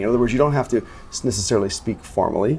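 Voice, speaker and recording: Music in the background behind a man's medium-pitched voice. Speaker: sales executive. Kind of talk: interview. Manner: fast-talking.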